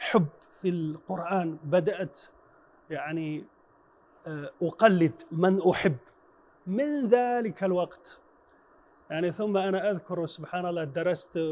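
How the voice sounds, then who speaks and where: With long, frequent pauses, a man with a high voice speaks at a very slow pace. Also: ordinary pitch variation. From China, Henan province. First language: Chinese (speaking Arabic). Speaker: Quran reciter and imam. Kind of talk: interview testimony. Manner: halting.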